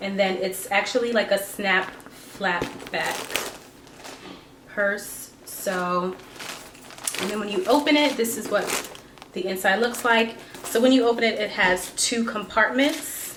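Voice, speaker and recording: Someone with an American accent speaks at a fairly slow pace with long, frequent pauses. The recording has audible room echo and noticeable background noise. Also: woman, medium pitch for a woman, ordinary pitch variation. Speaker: beauty and fashion vlogger. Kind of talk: product review. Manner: casual, filler-heavy.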